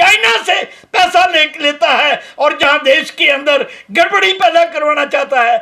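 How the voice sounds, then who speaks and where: In a raised, projected voice, a man talks with a bright, sharp tone. He keeps his intonation lively. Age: 70s. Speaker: activist. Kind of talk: press conference statement. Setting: press conference. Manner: impassioned.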